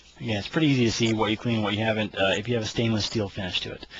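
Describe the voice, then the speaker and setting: A man speaks with a fairly low pitch. There is noticeable background noise. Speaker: firearms hobbyist. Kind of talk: tutorial. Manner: halting.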